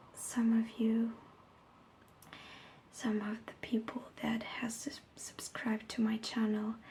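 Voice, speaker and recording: A soft-spoken woman at a very slow pace, with long, frequent pauses and noticeable background noise. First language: Italian. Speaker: ASMR creator. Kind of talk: ASMR story reading. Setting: home recording without a microphone.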